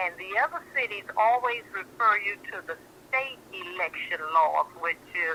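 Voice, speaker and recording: A woman talks at a fairly slow pace in an American accent, her pitch medium. It is a normal speaking voice with lively intonation. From Miami, Florida. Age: 60s. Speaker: caller. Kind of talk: phone-in talk show.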